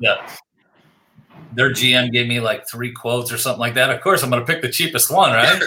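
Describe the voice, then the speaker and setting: A man with an American accent talks at a fairly quick pace, medium pitch and ordinary pitch variation. Long, frequent pauses break up his speech. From Pennsylvania. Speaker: podcast host. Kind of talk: casual interview.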